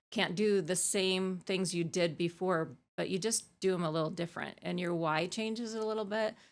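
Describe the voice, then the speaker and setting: A woman speaks in an ordinary speaking voice, with an American accent, at a moderate pace, medium pitch and fairly even intonation. The recording is very clean, with a silent background. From Arizona, US. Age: 50s. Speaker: ultramarathon coach and athlete. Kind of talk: podcast interview. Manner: casual, many fillers.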